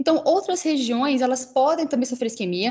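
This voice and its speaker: High-pitched female voice with lively intonation over noticeable background noise. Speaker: researcher presenting at journal club. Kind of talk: academic presentation. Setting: online livestream. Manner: fast.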